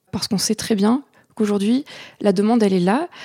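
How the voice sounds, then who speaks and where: A woman's voice is fairly high in pitch, somewhat breathy and dark, mellow in tone. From southeastern France, Aix-en-Provence area. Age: 20s. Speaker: agritech startup founder. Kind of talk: interview. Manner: halting, with frequent fillers.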